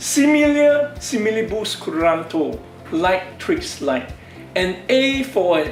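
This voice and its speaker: A man talks at a very slow pace in a high voice, his pitch swinging very widely. Room echo is audible, and music plays in the background. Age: 60s. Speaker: doctor and stem cell researcher. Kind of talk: presentation to camera. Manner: formal.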